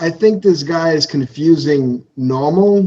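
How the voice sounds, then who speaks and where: With a New York accent, a man speaks at a very slow pace and with ordinary pitch variation. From Brooklyn, New York. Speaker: podcast co-host. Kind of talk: casual chat.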